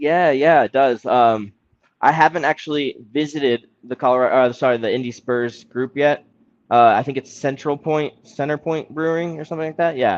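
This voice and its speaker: Heard in a dry, close recording with no echo, a man with a fairly high pitch speaks at a moderate pace with fairly even intonation. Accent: Midwestern American. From Indianapolis, US Midwest. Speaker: football podcast co-host. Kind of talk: casual chat.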